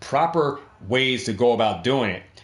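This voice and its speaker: This is a normal speaking voice from a man at medium pitch. His intonation is lively. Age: 50s. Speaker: trading card investing YouTuber. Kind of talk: tutorial. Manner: casual, repetitive, conversational.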